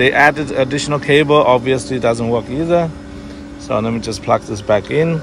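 Noticeable background noise runs under a dry sound with no echo. A man speaks at a moderate pace with ordinary pitch variation. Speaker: vlogger. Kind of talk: casual vlog chat. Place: street. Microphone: phone near.

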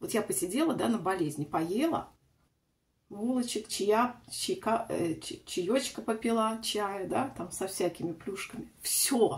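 Somewhat breathy, the voice moves at a very slow pace with very wide pitch swings. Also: woman, fairly high pitch for a woman. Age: 40s. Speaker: lifestyle vlogger; beauty vlogger. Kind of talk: casual vlog, makeup tutorial. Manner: chatty, meandering. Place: bathroom. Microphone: phone near.

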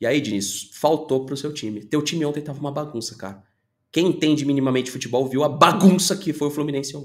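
Over a quiet background, a man speaks very fast in a fairly high pitch, his tone animated and his pitch variation ordinary. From Brazil. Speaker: football YouTuber. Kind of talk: opinion commentary video. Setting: home studio. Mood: frustrated venting. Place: home room.

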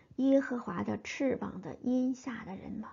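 A woman's voice, fairly high in pitch. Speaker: Bible teacher. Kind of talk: Bible reading and commentary.

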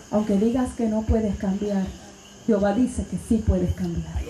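A woman speaks in an animated, passionate tone at a fairly slow pace. Audible room echo and light background noise surround her voice. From Puerto Rico. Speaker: Pentecostal preacher. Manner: animated, passionate and exhortative, rising to a loud preaching cadence. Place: tent.

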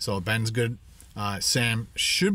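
A man's voice comes through dry, with no echo. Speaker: vlogger. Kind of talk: casual vlog chat. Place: car. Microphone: phone near.

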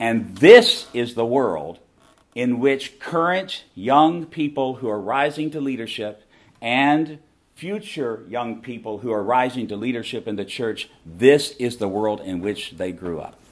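A man's lively intonation in a Southern US accent. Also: fairly slow pace. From US South. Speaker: seminary professor and ministry leader; seminary professor. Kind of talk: conference talk. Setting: stage with audience. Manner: animated. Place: meeting room. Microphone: camera far.

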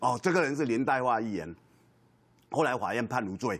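A man speaks with lively intonation and vocal fry. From Taiwan. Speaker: senior media commentator. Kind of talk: TV political panel talk. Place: studio.

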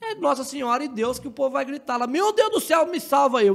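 His intonation is lively. The man talks at a very fast pace. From southern Minas Gerais, Brazil (Delfim Moreira). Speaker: agricultural technician and tomato grower. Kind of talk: casual interview chat.

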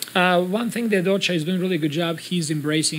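A man speaks with intonation that remains fairly even. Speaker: basketball head coach. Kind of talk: interview answer. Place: hall. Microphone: podium.

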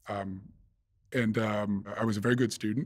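This man's voice sits fairly low, with fairly even intonation. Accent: American. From US Northeast, near Boston. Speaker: investment fund manager. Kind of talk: interview. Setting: studio. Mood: calm, reflective. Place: studio. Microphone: studio mic.

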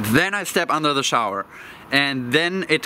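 A man talks at a moderate pace over light background noise, the sound dry with no echo. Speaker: self-development vlogger. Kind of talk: casual vlog chat. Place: waterside.

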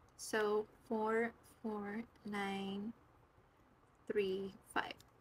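A woman speaks at a fairly high pitch. Her intonation stays monotone and flat. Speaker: budgeting vlogger. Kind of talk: casual vlog talk.

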